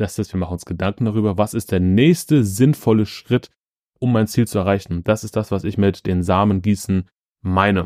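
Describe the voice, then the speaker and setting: A normal speaking voice at a moderate pace with ordinary pitch variation, dry and close with no echo, on a very clean recording with a silent background. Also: man, fairly low pitch for a man. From Ruhr area, Germany (Schwerte). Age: 30s. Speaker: podcast host. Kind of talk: motivational monologue. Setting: childhood bedroom at parents' home.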